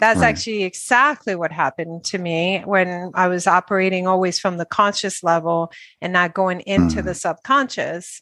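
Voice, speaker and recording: The tone is bright and sharp, with ordinary pitch variation at a moderate pace. There are hardly any pauses, and the background is quiet. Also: woman, medium pitch for a woman. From Dominican Republic. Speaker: podcast co-host, parent. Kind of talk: casual conversation.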